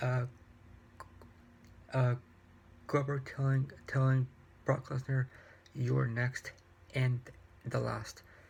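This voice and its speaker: A soft-spoken man talks at a very slow pace in a flat monotone, his voice somewhat breathy. His loudness stays very even, broken by long, frequent pauses. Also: medium pitch for a man. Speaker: YouTuber reviewing wrestling and books. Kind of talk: casual vlog review. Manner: soft-spoken, talking quietly; halting, many repetitions and fillers.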